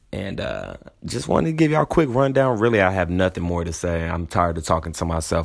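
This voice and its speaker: The delivery is very fast and animated. Intonation stays lively throughout. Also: man. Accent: American. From San Antonio, Texas. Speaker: podcast host. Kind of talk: casual solo monologue.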